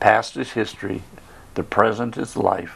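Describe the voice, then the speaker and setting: A man with vocal fry speaks at a fairly slow pace, his intonation fairly even. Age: 80s+. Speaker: service club founding member. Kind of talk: casual interview chat.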